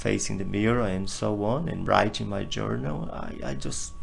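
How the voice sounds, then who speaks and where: Music plays behind a man with a Portuguese accent who speaks at a fairly slow pace amid audible room echo. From northeast Brazil. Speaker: interview guest sharing personal healing journey. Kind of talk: personal testimony in interview.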